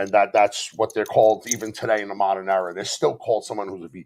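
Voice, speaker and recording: A man's fairly low, animated voice in a strong Bronx accent. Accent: thick Bronx. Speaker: author and modern paganism content creator. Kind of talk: casual chat. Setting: live stream.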